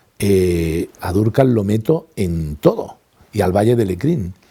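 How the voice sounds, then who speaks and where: Dark, mellow male tones, fairly unhurried, with ordinary pitch variation. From Spain, Granada (Andalusia). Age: 60s. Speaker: retired language institute director and teacher. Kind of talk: interview testimony.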